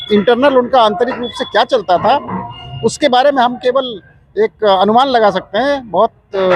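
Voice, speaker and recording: Man at an extremely high pitch with ordinary pitch variation and a moderate pace, amid noticeable background noise. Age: 60s. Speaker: retired air force officer, protester. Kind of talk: street interview.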